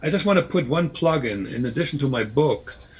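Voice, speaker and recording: A man with a somewhat breathy voice talks at a moderate tempo, his intonation lively. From Germany (East Germany). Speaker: former spy and author. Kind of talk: interview. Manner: halting, many repetitions.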